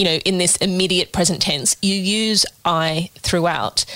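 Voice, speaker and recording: In an Australian accent, a woman speaks at a medium pitch with ordinary pitch variation. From Sydney, Australia. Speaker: podcast co-host. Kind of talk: interview.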